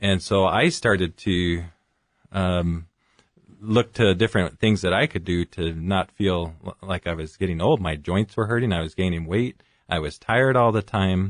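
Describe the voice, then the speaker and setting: Here a man with an American accent speaks at a moderate pace. His pitch is very deep and low, with ordinary variation. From California (Fresno). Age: 40s. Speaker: physician. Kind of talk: radio interview.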